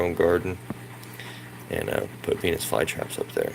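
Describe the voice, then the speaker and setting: A man with a very deep, low pitch, speaking at a moderate pace over noticeable background noise. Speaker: hobbyist gardener vlogger. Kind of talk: casual video tour. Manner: hesitant with fillers.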